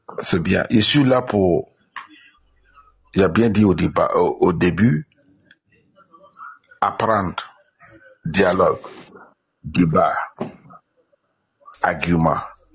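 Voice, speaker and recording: Speaking at a very slow pace, a man leaves long, frequent pauses while his loudness stays very even. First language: not French (speaking French). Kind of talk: religious debate.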